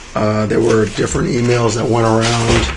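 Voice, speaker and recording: Through audible room echo and noticeable background noise, a man speaks at medium pitch with fairly even intonation. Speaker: commission chair. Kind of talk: public meeting. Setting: meeting room with audience. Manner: soft-spoken; halting. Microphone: too quiet.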